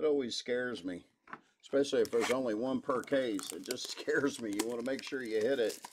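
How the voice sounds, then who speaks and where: Over noticeable background noise, a man speaks very fast in a medium pitch with ordinary pitch variation. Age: 40s. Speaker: sports card break host. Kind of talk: live card break stream. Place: studio.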